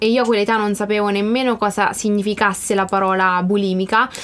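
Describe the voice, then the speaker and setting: Her voice fairly high in pitch, a woman speaks at a fairly quick pace in a monotone, flat intonation. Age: 20s. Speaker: life coach and student. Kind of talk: interview.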